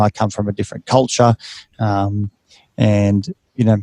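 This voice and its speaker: Dry, close sound with no echo carries a man's fairly low, dark, mellow voice. He keeps a moderate pace with ordinary pitch variation. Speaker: clinical psychologist, podcast host. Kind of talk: casual interview chat. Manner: halting, many fillers and repetitions.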